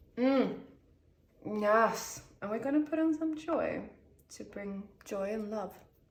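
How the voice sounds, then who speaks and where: A woman is speaking. Room echo is audible. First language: Swedish. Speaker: tarot reader. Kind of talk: tarot reading video, casual talk to camera. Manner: chatty, talking a lot; halting, searching for words.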